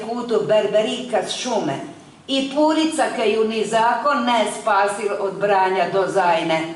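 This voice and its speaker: With noticeable background noise behind her, a woman talks very slowly at a medium pitch, her intonation lively. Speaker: stage actress. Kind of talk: poetry reading.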